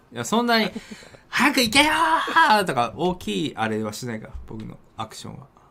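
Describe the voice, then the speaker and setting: At a moderate pace, a man talks with big swings in loudness against noticeable background noise. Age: middle-aged. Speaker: game streamer and talk radio co-host. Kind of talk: casual chat. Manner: laughs often.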